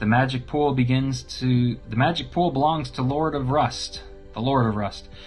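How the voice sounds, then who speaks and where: A gravelly, put-on character voice speaks at a moderate pace. Music plays in the background. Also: man. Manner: menacing, condescending.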